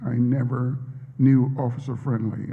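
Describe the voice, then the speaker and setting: A man with an American accent, his intonation monotone and flat, amid audible room echo. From US South, Vicksburg, Mississippi. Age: 60s. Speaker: professor. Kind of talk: interview answers at a public talk. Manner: hesitant, many fillers.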